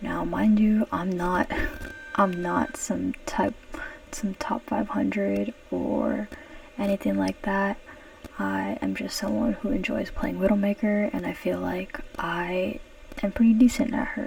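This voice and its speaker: There is noticeable background noise. Over it, a woman speaks at a fairly slow pace. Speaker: gamer. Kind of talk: casual gameplay commentary. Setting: home recording, poor microphone.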